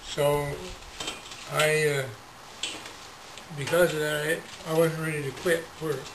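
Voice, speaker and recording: A man speaks slowly in a fairly high, monotone voice, leaving long, frequent pauses. Noticeable background noise and audible room echo fill the recording. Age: 70s. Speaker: retired telecom supervisor with Parkinson's. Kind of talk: interview. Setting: garage.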